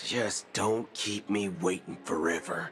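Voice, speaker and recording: A man puts on a raspy character voice at a fairly low pitch, speaking at a fairly slow pace over clear background music. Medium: video game. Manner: folksy drawl, casual slang, wry.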